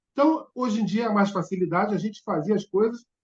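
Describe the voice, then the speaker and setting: This man's voice sits at a high pitch. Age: 60s. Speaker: bus historian and hobbyist. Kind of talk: podcast interview.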